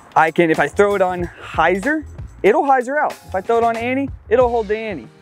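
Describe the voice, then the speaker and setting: Speech moves at a moderate pace with a dry sound and no echo. Faint music plays in the background. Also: man. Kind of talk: product walkthrough to camera. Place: open country.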